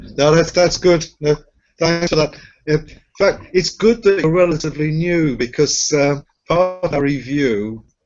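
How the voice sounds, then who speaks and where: A man with a British accent, at a fairly slow pace. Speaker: accreditation reviewer. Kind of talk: interview.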